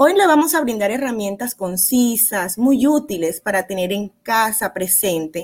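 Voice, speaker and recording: A plain, everyday voice belongs to a woman speaking at a fairly high pitch with lively intonation. She keeps a fairly slow pace. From Barranquilla, Colombia. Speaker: psychologist. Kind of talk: advice talk on parenting.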